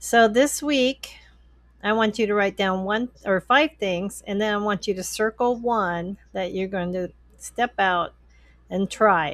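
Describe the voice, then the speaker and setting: In a very clean recording with a silent background, a woman at a medium pitch speaks at a fairly slow pace with ordinary pitch variation. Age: 60s. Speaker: YouTuber, former respiratory therapist. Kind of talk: casual vlog talk to camera. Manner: hesitant, with many fillers.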